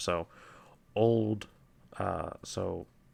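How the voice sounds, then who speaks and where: Vocal fry runs through a man's voice as he speaks with ordinary pitch variation. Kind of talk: quiet lore reading with commentary. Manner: soft-spoken.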